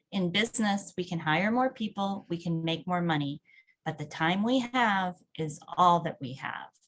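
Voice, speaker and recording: Speaking at a moderate pace, a woman has a fairly low pitch, ordinary pitch variation and a somewhat breathy quality. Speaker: webinar presenter. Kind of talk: webinar presentation.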